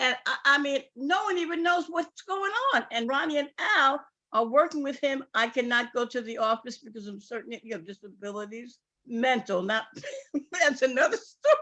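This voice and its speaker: Projecting her voice, a woman with a high pitch and a New York accent speaks at a moderate pace, her loudness swinging widely. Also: lively intonation. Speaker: sales distributor. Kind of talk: testimony. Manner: animated.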